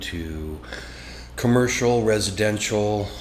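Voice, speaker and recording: A man with an American accent talks amid noticeable background noise, his voice carrying audible room echo. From Washington State, US. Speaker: business owner. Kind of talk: interview.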